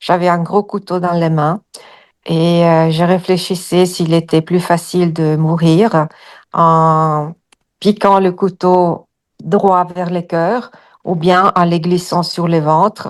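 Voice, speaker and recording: A woman's fairly low, monotone voice with flat intonation, at a very slow pace against a quiet background. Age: 60s. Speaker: hypnosis client. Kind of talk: personal testimony. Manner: halting, many hesitations.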